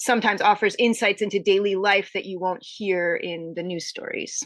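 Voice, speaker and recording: Against a quiet background, a woman with an American accent talks at a moderate pace with fairly even intonation and an unremarkable speaking voice. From US Northeast, suburban Connecticut. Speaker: author. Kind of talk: interview. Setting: podcast interview.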